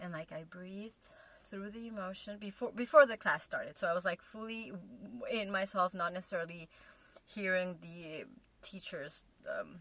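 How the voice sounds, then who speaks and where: A woman with a non-native accent, ordinary pitch variation, and long, frequent pauses. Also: medium pitch for a woman, moderate pace, big swings in loudness. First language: not English. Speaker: relationship video co-host with partner. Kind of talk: casual chat. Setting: in a car.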